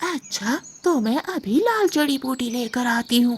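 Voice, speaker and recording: A cartoonish character voice sounds female and high-pitched. It moves at a fairly slow pace. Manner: boastful, threatening.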